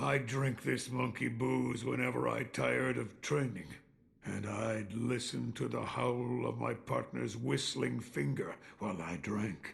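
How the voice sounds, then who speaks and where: Putting on a character voice, a man speaks at a fairly slow pace with a very deep, low pitch and very wide pitch swings. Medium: video game. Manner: calm, reflective.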